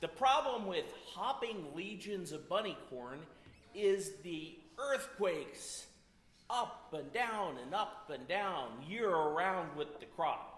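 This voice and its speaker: With audible room echo, a high-pitched man speaks at a very slow pace, his pitch swinging very widely. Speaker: storyteller at a community music event. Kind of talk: humorous storytelling to an audience. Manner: loud.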